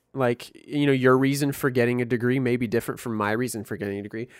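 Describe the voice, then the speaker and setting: On a very clean recording with a silent background, a man with an American accent talks very fast at a medium pitch. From US Midwest, Missouri. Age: 20s. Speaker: podcast co-host, musician. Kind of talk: casual chat. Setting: virtual call.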